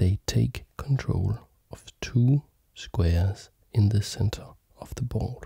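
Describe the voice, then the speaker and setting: A soft-spoken voice talks at a very slow pace, with dry sound, no echo and a quiet background. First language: not German; learning German. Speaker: chess teacher and video creator. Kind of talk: tutorial. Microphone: studio mic.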